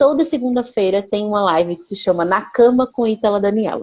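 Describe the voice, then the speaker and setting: A woman's dark, mellow voice, fairly high in pitch, at a fairly quick pace. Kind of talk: live stream conversation. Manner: fast.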